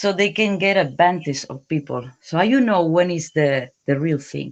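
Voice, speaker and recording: The speaker has a non-native accent. The pace is moderate. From Spain. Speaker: caller. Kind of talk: call-in question. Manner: halting.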